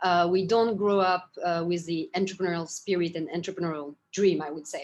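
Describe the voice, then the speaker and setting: This woman talks at a fairly quick pace with a French accent. Her pitch sits in the middle range. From Japan, French family. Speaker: startup founder and CEO. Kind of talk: interview. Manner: hesitant, many fillers.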